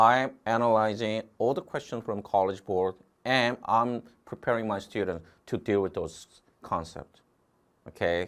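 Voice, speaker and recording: The man's fairly low voice shows ordinary pitch variation. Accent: Korean. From Korea. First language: Korean. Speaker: test prep instructor. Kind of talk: online lecture. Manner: repetitive filler 'okay'.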